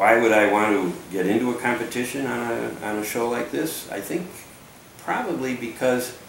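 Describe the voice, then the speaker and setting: Over noticeable background noise, a man with a medium pitch talks with an American accent. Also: ordinary pitch variation, moderate pace. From Connecticut, USA. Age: 70s. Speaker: engineer. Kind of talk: audition video talk to camera. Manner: enthusiastic.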